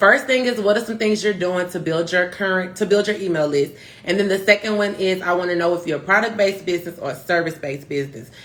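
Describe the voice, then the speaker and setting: Against noticeable background noise, a woman talks very fast in an animated tone with ordinary pitch variation. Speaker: marketing consultant, live stream host. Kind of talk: instagram live tutorial. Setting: instagram live stream.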